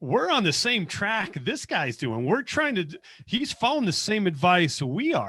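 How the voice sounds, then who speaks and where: A man with an American accent speaks at a moderate pace in a raised, projected voice, his high pitch swinging very widely and his tone bright and sharp. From US West, Las Vegas. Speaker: accountant. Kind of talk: podcast interview. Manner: animated storytelling.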